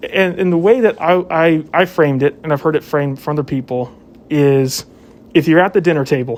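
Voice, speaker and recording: A man with a plain, everyday voice, fairly high pitch, ordinary pitch variation, a fairly quick pace and an American accent. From southwest Virginia, US. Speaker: police officer. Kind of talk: casual discussion.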